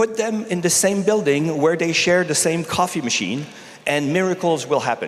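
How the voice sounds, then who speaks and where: A man with a Canadian accent speaks at high pitch and a moderate pace. Audible room echo and noticeable background noise fill the recording. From Canada. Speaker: technology executive. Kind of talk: conference talk.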